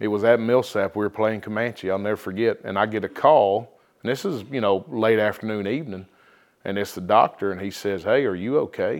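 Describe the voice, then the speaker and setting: Over a very clean recording with a silent background, a man talks fairly quickly in a plain, everyday voice, fairly low in pitch with ordinary pitch variation. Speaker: high school football coach. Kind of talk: interview, testimony of faith.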